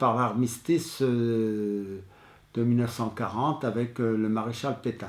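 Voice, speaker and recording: The pace is very slow. A man talks in a medium pitch. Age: 80s+. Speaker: war witness. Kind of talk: testimony. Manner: halting, many hesitations.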